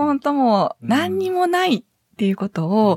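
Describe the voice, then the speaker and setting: A woman with a Kansai accent speaks at a fairly slow pace, somewhat breathy, with very wide pitch swings and a dry, close sound with no echo. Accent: Kansai intonation. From Hyogo, Kansai (Sanda, north of Kobe). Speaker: psychiatric social worker. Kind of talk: interview.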